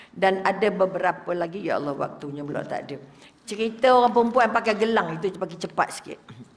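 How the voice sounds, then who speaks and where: Against noticeable background noise, a woman speaks at a very fast pace and a medium pitch with ordinary pitch variation. Her loudness swings widely. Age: old. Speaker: religious teacher. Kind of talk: religious lecture. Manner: animated.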